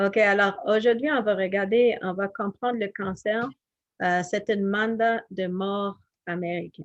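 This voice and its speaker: A woman speaks with an English accent at a very slow pace. The background is quiet. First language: English (speaking French). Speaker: health educator. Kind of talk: health presentation. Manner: halting, many fillers.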